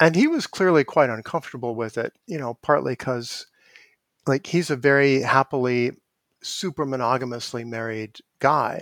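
On a very clean recording with a silent background, a man speaks in a normal speaking voice at medium pitch and a moderate pace, with ordinary pitch variation. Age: 50s. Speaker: evolutionary psychology professor. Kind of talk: interview.

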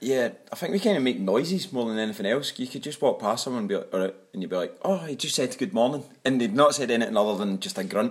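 Speaking at a very fast pace, a man with a Glaswegian accent uses a medium pitch with very wide pitch swings. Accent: broad Glaswegian Scottish. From Scotland, Glasgow. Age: 20s. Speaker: teacher. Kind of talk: podcast interview. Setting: studio.

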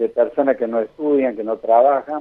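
Using a normal speaking voice, the speaker goes at a moderate pace and varies pitch in the usual way. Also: man. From Argentina, Santa Fe province. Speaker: infectious disease doctor. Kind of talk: radio interview.

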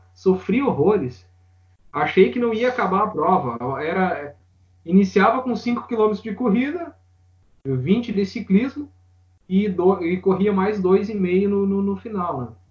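Speaking at a high pitch with lively intonation, a man moves at a very slow pace. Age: 30s. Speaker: amateur triathlete and firefighter. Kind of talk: interview.

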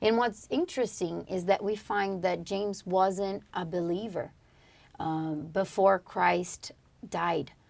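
Very slow in pace, a woman speaks at a medium pitch. Her intonation is fairly even. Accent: Portuguese. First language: Portuguese. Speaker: podcast co-host. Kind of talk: religious study discussion. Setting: studio.

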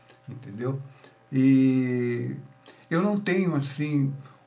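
A man with a fairly high pitch and audible room echo. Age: 70s. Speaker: reggae musician. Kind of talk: casual interview.

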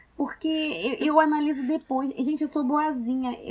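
A woman speaks at a moderate pace. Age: 20s. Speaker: podcast co-host. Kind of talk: casual chat.

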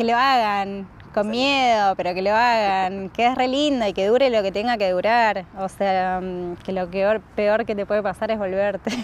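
At a fairly slow pace, a woman with an unremarkable speaking voice talks at medium pitch with fairly even intonation. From Argentina, Rosario (born in Salta). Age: 20s. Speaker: traveller, tour boat host. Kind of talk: casual interview. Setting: outdoors.

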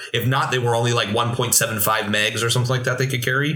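Noticeable background noise is present in the clip. The speaker talks in an American accent. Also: man. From Pennsylvania, Williamsport area. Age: 30s. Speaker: church media director and tech YouTuber. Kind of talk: casual chat.

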